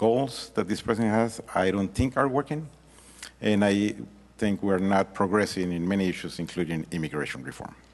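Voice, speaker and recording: A man with a Mexican accent talks at a fairly quick pace, his fairly low voice carrying lively intonation. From Mexico. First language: Spanish. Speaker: congressional candidate. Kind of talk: debate opening statement. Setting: public forum with audience.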